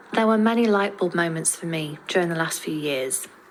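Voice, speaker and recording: Noticeable background noise runs beneath speech that keeps a moderate pace. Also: woman. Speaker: podcaster. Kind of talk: scripted podcast monologue. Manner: careful, effortful pronunciation.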